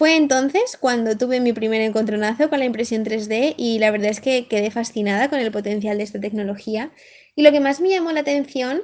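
A woman with a Madrid accent, fairly high pitch, a fairly quick pace and ordinary pitch variation. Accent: Madrid Spanish (peninsular). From Coslada, Madrid, Spain. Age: 20s. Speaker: PhD student, engineer. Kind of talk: recorded self-introduction.

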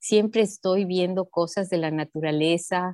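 A woman talks in an ordinary speaking voice, fairly low in pitch, at a moderate pace. Her intonation stays fairly even, and the sound is dry and close with no echo. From Ecuador, Sierra highlands. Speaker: nutrition educator. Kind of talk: interview.

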